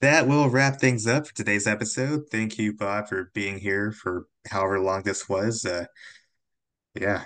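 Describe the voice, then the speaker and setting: A man with an unremarkable speaking voice speaks fairly slowly at a fairly low pitch. His pitch varies in an ordinary way, and the background is quiet. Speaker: podcast host and stop motion voice actor. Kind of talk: casual chat.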